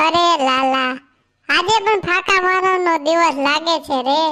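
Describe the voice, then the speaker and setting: In a cartoonish character voice, the speaker goes at a fairly slow pace with very even loudness. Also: woman, extremely high pitch for a woman. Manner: sarcastic, teasing.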